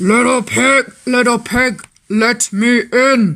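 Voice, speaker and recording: A man speaks very slowly in a put-on character voice pitched extremely high. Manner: menacing, demanding.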